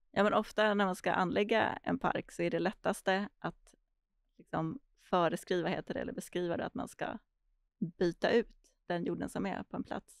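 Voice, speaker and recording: Woman with vocal fry and medium pitch, ordinary pitch variation, moderate pace, dry sound with no echo, quiet background. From Stockholm, Sweden (early years in Argentina). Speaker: urban planner and landscape architect; guest. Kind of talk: podcast interview. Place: studio. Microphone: studio mic.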